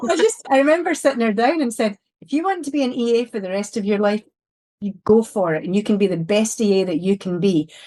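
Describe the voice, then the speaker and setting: With lively intonation, a woman talks at a very fast pace in a fairly high pitch. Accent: Scottish. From Scotland, Glasgow. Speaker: security executive. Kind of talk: podcast interview. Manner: blunt, open.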